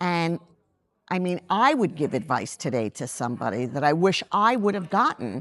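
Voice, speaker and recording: With a normal speaking voice, a woman talks at medium pitch and a moderate pace over a quiet background. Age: 60s. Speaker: makeup artist and beauty brand founder. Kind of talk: interview.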